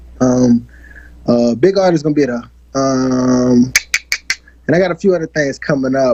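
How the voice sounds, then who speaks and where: A man at medium pitch with a slight country accent and ordinary pitch variation, over noticeable background noise. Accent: slight country twang. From New Orleans, Fifth Ward (Treme). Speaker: R&B singer. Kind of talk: interview.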